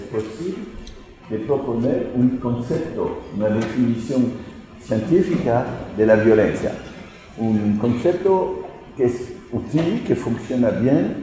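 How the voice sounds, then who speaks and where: This man has a medium pitch and lively intonation, speaking at a very slow pace with long, frequent pauses. Audible room echo and noticeable background noise fill the recording. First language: French (speaking Spanish). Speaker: sociology professor. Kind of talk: lecture. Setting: lecture hall at a law faculty. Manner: halting, with hesitations.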